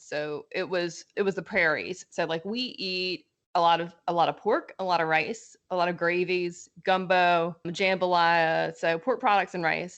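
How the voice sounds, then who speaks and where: A woman's fairly low voice with a slight Southern US accent, at a fairly slow pace with hardly any pauses. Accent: slight Southern twang. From South Louisiana, Lafayette area (Cajun). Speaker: accountant (CPA). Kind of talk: podcast interview. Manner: animated.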